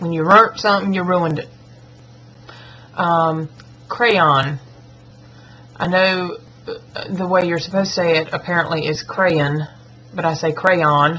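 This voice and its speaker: With a Southern US accent, a woman talks at a fairly slow pace in a fairly low pitch, leaving long, frequent pauses. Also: fairly even intonation. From US South. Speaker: schoolteacher and vlogger. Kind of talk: accent tag vlog. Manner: casual, chatty.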